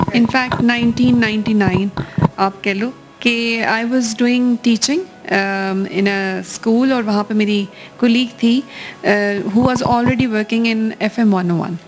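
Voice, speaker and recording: Over noticeable background noise, a woman speaks at a fairly high pitch. Her intonation stays fairly even. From Pakistan. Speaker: voice over artist. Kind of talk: interview answer.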